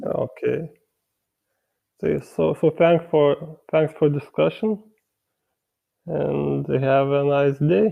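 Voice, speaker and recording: A man with a Lithuanian accent at a very slow pace, with long, frequent pauses. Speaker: meat-eating debater. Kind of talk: debate. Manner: halting, stuttering.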